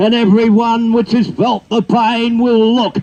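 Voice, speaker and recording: Speaking at a fairly slow pace, this man has an Australian accent. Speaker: bush poet. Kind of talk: poetry reading.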